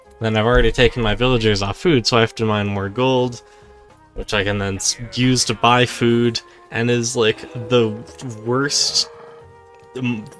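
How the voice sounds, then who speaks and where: A man at a moderate pace with fairly even intonation and long, frequent pauses, over music in the background. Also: medium pitch for a man. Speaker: speedrunner. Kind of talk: gameplay commentary.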